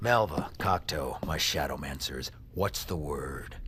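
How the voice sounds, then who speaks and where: A man's put-on character voice, very deep and low, with lively intonation, a fairly slow pace and clear background noise. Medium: audio drama. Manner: terse, commanding.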